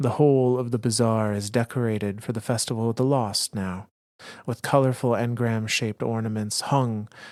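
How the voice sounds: The background stays quiet as a natural reading voice proceeds with fairly even intonation.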